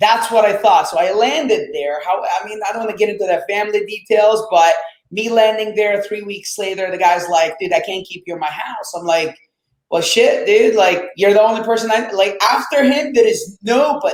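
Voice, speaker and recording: A man's animated, high-pitched voice, with ordinary pitch variation and big swings in loudness. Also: moderate pace. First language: Arabic. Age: 20s. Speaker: real estate investor. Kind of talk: interview storytelling.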